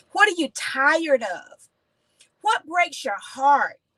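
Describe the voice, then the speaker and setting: In a raised, projected voice, a woman speaks at a fairly slow pace, her bright, sharp tone animated and marked by very wide pitch swings. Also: dry, close sound with no echo. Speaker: motivational teacher. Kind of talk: teaching session. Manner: animated, preachy.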